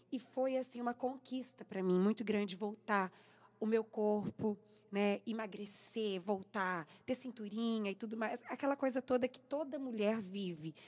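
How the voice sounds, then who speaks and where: At a fairly slow pace, a woman talks in a fairly high voice with ordinary pitch variation. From interior of São Paulo state, Brazil. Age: 40s. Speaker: singer; interviewee. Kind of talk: radio interview. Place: studio. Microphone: studio mic.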